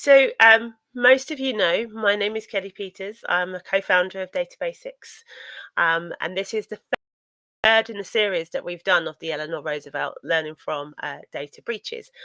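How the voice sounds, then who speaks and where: A woman with a British accent speaks at a medium pitch and a moderate pace, her intonation lively and her tone bright and sharp. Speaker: data protection consultant, company co-founder. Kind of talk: webinar presentation. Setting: online webinar. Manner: hesitant, many fillers.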